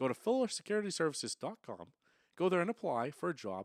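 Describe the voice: A man with an American accent talks at a very fast pace in a high pitch, his voice swinging very widely up and down. The recording is very clean with a silent background and a dry, close sound free of echo.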